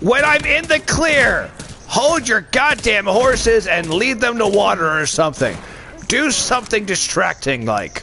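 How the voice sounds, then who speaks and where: Speaking fairly slowly in a raised, projected voice, a man with a high pitch swings his pitch very widely while keeping his loudness very even, over light background noise. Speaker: gaming channel host. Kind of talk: casual gaming chat with teammates. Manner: loud, excitable, joking.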